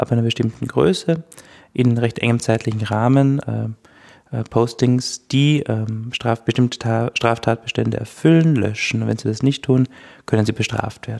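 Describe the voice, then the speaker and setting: In a dry, close sound with no echo, a man speaks with a dark, mellow tone and ordinary pitch variation. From Austria, Styria. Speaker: legal scholar. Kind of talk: expert interview.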